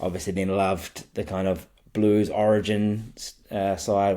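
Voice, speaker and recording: With a New Zealand accent, a man speaks in a dark, mellow tone at a fairly low pitch with ordinary pitch variation. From New Zealand, Wellington (Johnsonville). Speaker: rugby league fan podcaster. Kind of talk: casual chat.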